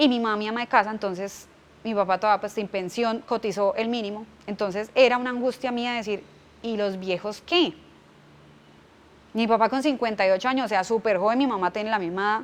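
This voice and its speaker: A woman speaks in an unremarkable speaking voice at a fairly high pitch. Her pace is fairly quick and her pitch variation ordinary. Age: 30s. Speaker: business owner and economist. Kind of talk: interview testimony.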